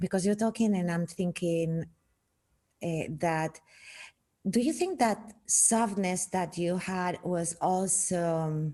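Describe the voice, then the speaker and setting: Speaking with a Spanish accent, a woman moves at a very slow pace with long, frequent pauses, her medium pitch varying in an ordinary way and her tone dark and mellow. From Spain. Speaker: podcast host. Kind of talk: interview conversation. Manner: halting.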